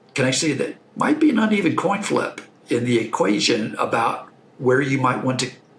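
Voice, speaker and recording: A man talks with an American accent and very wide pitch swings. Noticeable background noise runs behind him. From Texas. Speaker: investor and franchise owner. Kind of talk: podcast interview.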